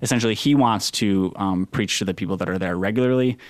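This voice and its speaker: A man with a normal speaking voice talks at a fairly quick pace in a fairly low pitch. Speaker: religion reporter. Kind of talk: casual interview.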